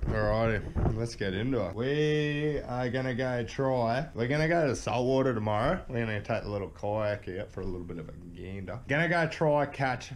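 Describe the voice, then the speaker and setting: With lively intonation and hardly any pauses, a man speaks at a moderate pace over light background noise. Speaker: fishing vlogger. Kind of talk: casual vlog chat. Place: garage. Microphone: phone near.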